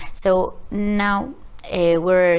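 A woman's medium-pitched voice with a Spanish accent. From Spain. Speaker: TV producer; panelist. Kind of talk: panel discussion. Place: meeting room.

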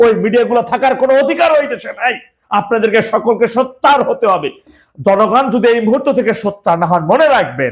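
A man speaks at an extremely high pitch. His intonation is lively. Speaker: political commentary YouTuber. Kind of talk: political news commentary. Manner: impassioned, exhortative.

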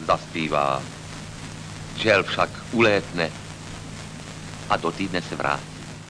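Over noticeable background noise, a man with a very deep, low pitch speaks at a very slow pace, making very wide pitch swings and long, frequent pauses. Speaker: poet. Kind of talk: poetry reading. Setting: old film recording.

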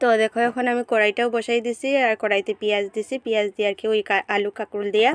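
A woman's fairly high voice, monotone with flat intonation. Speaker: vlogger and housewife. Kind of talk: casual vlog narration.

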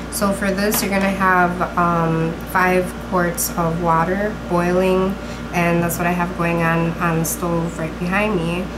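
Noticeable background noise runs behind a woman speaking fairly slowly. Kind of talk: cooking tutorial. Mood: calm, friendly. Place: kitchen. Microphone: camera far.

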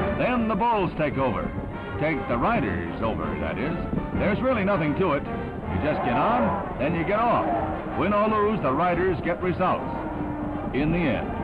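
The speaker keeps a moderate pace while loud music plays in the background. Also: man. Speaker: newsreel narrator. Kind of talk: 1960s newsreel narration. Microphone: old recording.

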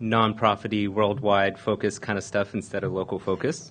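The man has an unremarkable speaking voice, fairly low in pitch, and moves at a moderate pace with fairly even intonation. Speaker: conference presenter. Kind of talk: conference talk. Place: meeting room.

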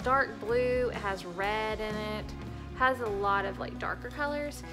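Clear music plays behind a woman who talks at a fairly slow pace. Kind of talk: casual vlog chat. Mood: relaxed, chatty. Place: home room. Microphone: phone near.

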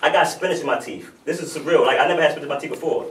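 A man speaks over noticeable background noise. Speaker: spoken word poet. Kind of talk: casual storytelling to live audience. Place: hall. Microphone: camera far.

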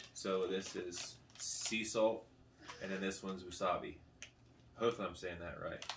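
Noticeable background noise sits behind a man's voice. His pitch is fairly low and his intonation fairly even. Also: moderate pace. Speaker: food review vlogger. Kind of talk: casual vlog chat. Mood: relaxed, joking. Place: home room. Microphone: camera far.

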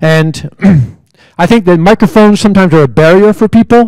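A man talks very fast, and the background stays quiet. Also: dry sound with no echo. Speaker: speaker. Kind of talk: public talk. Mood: mildly irritated about microphones. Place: hall. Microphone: handheld.

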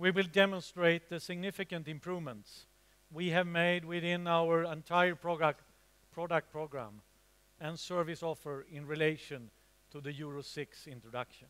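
This man's voice is high-pitched. He speaks with fairly even intonation. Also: moderate pace. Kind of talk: opening keynote speech. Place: hall. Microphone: headset.

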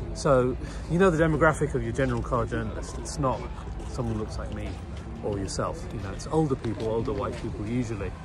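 A man talks at a very fast pace. Clear music plays behind the dry sound, which has no echo. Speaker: guest. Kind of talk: interview answer. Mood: earnest, passionate. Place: street. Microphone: phone near.

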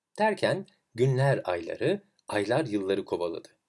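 On a very clean recording with a silent background, a man speaks at a moderate pace. His fairly low voice has a slightly mellow tone and big pitch swings.

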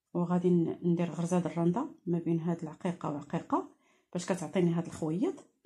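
A woman talks at a very fast pace in a fairly low, somewhat breathy voice with a dark, mellow tone against a quiet background. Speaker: crafts teacher. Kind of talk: tutorial. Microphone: phone near.

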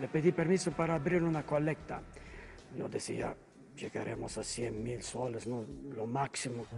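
Over light background noise, a man with a non-native accent speaks at medium pitch and a moderate pace. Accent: foreign accent in Spanish. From Malta. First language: Maltese (speaking Spanish). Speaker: priest and doctor; priest. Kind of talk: interview. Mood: earnest, reflective. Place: church. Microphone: handheld.

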